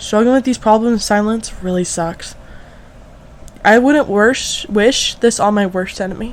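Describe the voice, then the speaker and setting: At a moderate pace, a woman speaks in a fairly high pitch with ordinary pitch variation, noticeable background noise behind her. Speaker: content creator. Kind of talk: scripted narration. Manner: slurred words.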